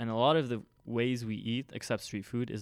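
A man at medium pitch with an American accent, talking at a fairly quick pace. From Lebanon. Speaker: college student and summer teaching intern. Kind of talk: casual chat. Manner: animated.

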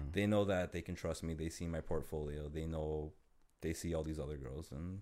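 A very fast, very deep, low-pitched man with a Toronto accent and ordinary pitch variation, on a very clean recording with a silent background. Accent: Canadian (Toronto). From Toronto, Canada. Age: 30s. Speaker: photographer. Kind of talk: casual chat. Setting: studio.

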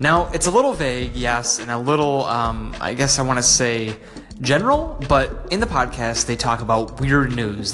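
Noticeable background noise sits behind a man at medium pitch. He sounds upbeat and keeps a moderate pace. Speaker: podcast host. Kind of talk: podcast intro and interview. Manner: casual, friendly, upbeat.

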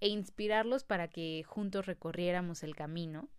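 A woman's fairly low voice with a Mexican accent at a fairly slow pace, on a very clean recording with a silent background. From Mexico City. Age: 20s. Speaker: podcast host. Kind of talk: casual monologue.

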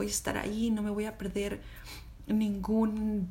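A woman speaks in a Mexican accent at a fairly slow pace. Audible room echo surrounds her voice. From Mexico. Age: 30s. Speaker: podcast host. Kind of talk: personal storytelling monologue. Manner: halting, many fillers.

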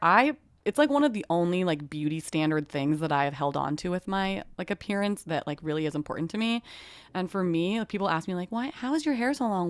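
Very fast and with lively intonation, a woman talks. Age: 30s. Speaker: podcast co-host. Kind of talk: casual chat. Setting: video call.

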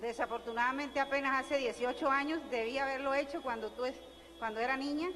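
High pitch from a woman, fairly even intonation and a moderate pace. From Colombia (Barranquilla). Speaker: audience member. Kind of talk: audience question. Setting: audience at live event.

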